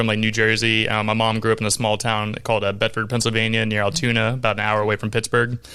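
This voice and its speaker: A man with an American accent talks at a very fast pace in a medium pitch, his bright, sharp tone carrying vocal fry. The recording is very clean, with a silent background. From Jacksonville, Florida. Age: 20s. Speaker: podcast host. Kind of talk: casual interview chat.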